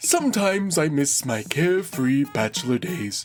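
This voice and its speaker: With faint music behind it, a put-on character voice speaks at a fairly slow pace. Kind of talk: read-aloud item commentary. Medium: voice reel.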